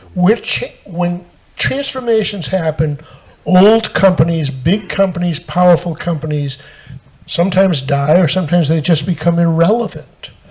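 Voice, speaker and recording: A man with a high-pitched voice talks at a moderate pace with ordinary pitch variation. Noticeable background noise sits behind him. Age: 70s. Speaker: tech author and speaker. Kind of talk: panel talk to live audience.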